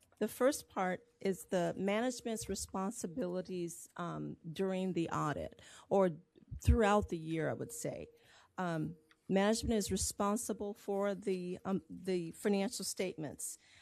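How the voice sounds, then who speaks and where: This woman speaks at medium pitch and a fairly slow pace, with ordinary pitch variation. Her recording is very clean, the background silent. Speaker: auditor. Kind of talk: presentation. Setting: board meeting. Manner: halting.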